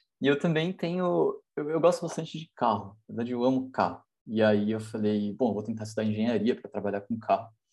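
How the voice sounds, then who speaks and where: A man speaks with a plain, everyday voice at medium pitch. His intonation is lively against a quiet background. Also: fairly quick pace. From Brazil, São Paulo. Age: 20s. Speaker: university student and startup founder. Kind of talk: casual chat.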